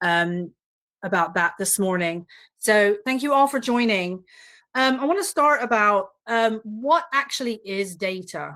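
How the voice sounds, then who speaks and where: Speaking at a fairly slow pace, a woman with an American accent has a fairly high pitch, a bright, sharp tone and lively intonation. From United States and England. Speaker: keynote speaker. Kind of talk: keynote talk. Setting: video call from her living room. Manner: hesitant, many fillers.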